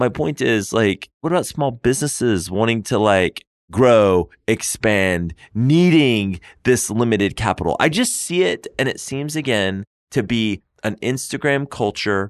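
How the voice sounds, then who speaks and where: An unremarkable speaking voice from a man at medium pitch, with an American accent, lively intonation and a fairly slow pace, in a dry, close sound with no echo against a quiet background. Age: 40s. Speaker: lawyer and podcast co-host. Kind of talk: casual chat.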